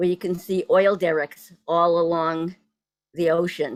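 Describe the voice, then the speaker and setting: Speaking in a Boston accent, a woman uses fairly even intonation, a fairly low pitch and a fairly slow pace. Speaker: poet and translator. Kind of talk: poetry event talk. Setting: video call.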